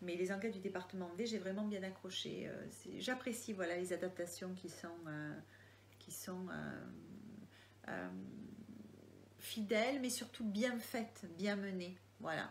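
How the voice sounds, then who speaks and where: In a Marseille accent, a woman of medium pitch speaks at a fairly slow pace with ordinary pitch variation and long, frequent pauses, amid audible room echo. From Marseille area, southern France. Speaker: crime novelist. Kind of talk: live Q&A. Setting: online live video. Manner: hesitant, many fillers.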